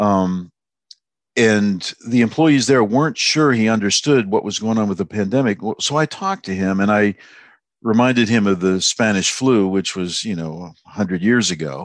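Over a quiet background, a man speaks at a moderate pace in a fairly low pitch with ordinary pitch variation. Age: 60s. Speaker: writer. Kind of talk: casual chat. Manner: halting.

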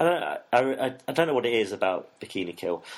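The speaker is a man. He talks in an East Midlands accent. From England, Nottingham. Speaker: music fan, former student radio presenter. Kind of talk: casual interview. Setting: studio.

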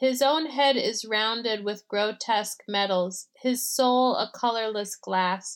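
On a very clean recording with a silent background, a woman speaks at a fairly slow pace. She has an ordinary speaking voice, fairly high in pitch, with ordinary pitch variation. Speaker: poet. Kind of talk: poem reading.

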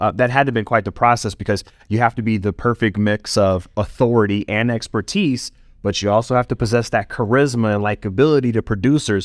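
A man talks in an ordinary speaking voice at a medium pitch. His intonation stays fairly even. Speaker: podcast host. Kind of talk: interview conversation.

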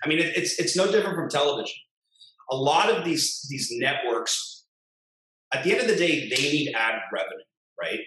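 A man speaks in a high voice with a bright, sharp tone. He leaves long, frequent pauses, and room echo is audible. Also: lively intonation, moderate pace. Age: 30s. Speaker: digital marketing agency founder. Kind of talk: casual interview.

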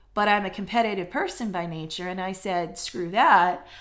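In a room with audible echo, a woman speaks in an animated tone with lively intonation. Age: 40s. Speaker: career coach and podcast host. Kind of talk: motivational solo podcast.

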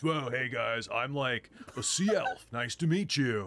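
In a put-on character voice, a man speaks fairly slowly at medium pitch with lively intonation. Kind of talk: casual.

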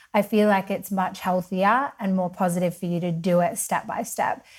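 A woman with an Australian accent speaks at medium pitch, somewhat breathy and fairly even in intonation, on a very clean recording with a silent background. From Western Australia (Perth). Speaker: women's empowerment coach, podcaster. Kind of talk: casual interview chat.

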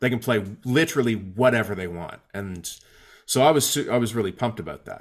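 A plain, everyday voice moves at a fairly quick pace with lively intonation on a very clean recording with a silent background. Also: man. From Atlantic Canada. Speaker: singer-songwriter and guitar teacher. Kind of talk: casual interview. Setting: home basement.

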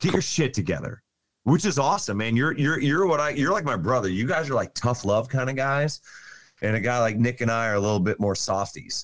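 Keeping his loudness very even, a man with an unremarkable speaking voice talks fairly quickly at medium pitch with lively intonation. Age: 40s. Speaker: podcast guest. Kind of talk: casual chat.

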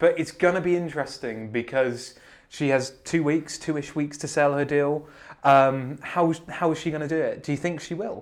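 With a British accent, a man speaks in a fairly high pitch with fairly even intonation. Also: moderate pace. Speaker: podcast host. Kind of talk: casual chat. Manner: joking.

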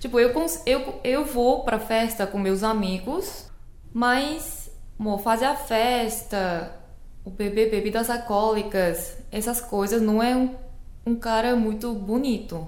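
The speaker talks at a very slow pace with a Korean accent and ordinary pitch variation. Audible room echo can be heard. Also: woman, fairly high pitch for a woman. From South Korea. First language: Korean (speaking Portuguese). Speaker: Korean language teacher. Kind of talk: casual chat.

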